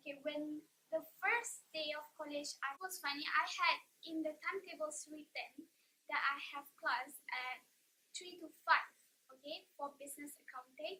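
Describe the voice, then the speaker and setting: Raised and projected, a woman's high-pitched voice has a bright, sharp tone, big swings in loudness, ordinary pitch variation and a moderate pace. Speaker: vlogger. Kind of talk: casual chat.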